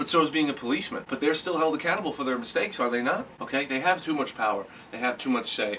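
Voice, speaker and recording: An animated man talks very fast at a fairly high pitch with ordinary pitch variation, with noticeable background noise behind him. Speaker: comedic sports commentator. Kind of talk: comedic rant. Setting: alone in a room on camera. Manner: loud.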